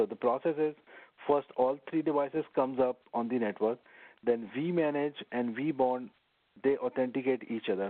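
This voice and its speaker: A man uses a normal speaking voice at a moderate pace. His pitch is medium, with ordinary variation. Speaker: network engineering instructor. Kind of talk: lecture.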